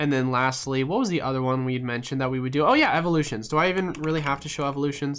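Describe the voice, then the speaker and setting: Against music in the background, a man speaks at a very fast pace with fairly even intonation. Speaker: trading card market streamer. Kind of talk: live stream Q and A. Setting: live stream. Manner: casual, frequent fillers.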